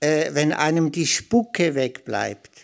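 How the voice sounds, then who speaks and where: At a very slow pace, a man talks in a very clean recording with a silent background. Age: 60s. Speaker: spiritual author. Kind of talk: spiritual talk. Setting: stage with audience.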